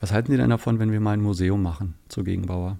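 A man's fairly low-pitched voice has a dark, mellow tone. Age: 50s. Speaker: sustainability and communications manager. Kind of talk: casual interview.

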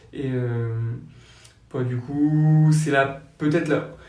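There is audible room echo around a man's voice. He speaks at a medium pitch in a monotone, flat intonation. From French Basque Country. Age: 20s. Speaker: young public-law lawyer. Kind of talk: casual interview. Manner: hesitant, many fillers.

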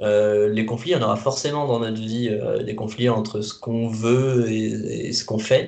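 There is audible room echo as a man with a medium pitch talks in fairly even intonation. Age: 20s. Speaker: youth guidance volunteer. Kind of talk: interview. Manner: halting.

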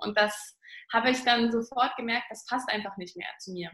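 Ordinary pitch variation and a moderate pace in a woman's speech. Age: 20s. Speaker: business consultant, trainee naturopath. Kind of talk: interview.

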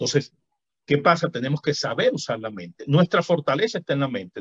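There is vocal fry in this man's voice, and the sound is dry and close with no echo. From Venezuela. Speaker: physician and author. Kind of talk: interview conversation.

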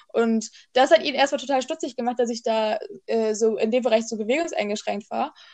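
Her voice high in pitch with ordinary variation, a woman speaks at a fairly quick pace. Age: 20s. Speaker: podcast co-host. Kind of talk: casual chat.

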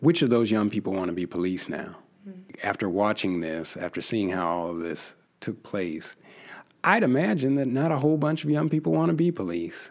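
A man with a fairly low pitch speaks at a moderate pace, his pitch swinging very widely. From US Northwest, Yakima, Washington. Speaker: history professor. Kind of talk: interview. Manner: repetitive hesitant restarts.

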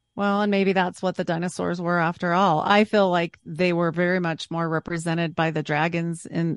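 Over a quiet background, a woman speaks in a normal speaking voice at a fairly low pitch and moderate pace. The sound is dry and close with no echo, and her intonation is fairly even. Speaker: podcaster guest. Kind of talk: casual roundtable discussion.

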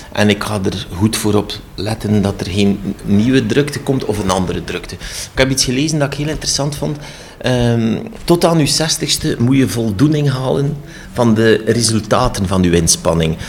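With noticeable background noise, a man speaks with a Flemish accent and lively intonation. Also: medium pitch for a man, moderate pace. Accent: Flemish Dutch. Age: 60s. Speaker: cultural centre director. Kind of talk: interview. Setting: office. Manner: halting.

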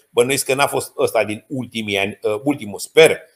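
A man speaks at a moderate pace and a medium pitch. He has an unremarkable speaking voice. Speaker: geopolitics and diplomacy expert. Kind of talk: interview.

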